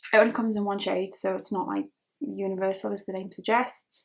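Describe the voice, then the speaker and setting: In a slight Geordie accent, a woman talks at a fairly quick pace with vocal fry and fairly even intonation. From northern England, Newcastle. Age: 20s. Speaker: beauty vlogger. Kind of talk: chatty get-ready-with-me talk. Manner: casual, lots of fillers.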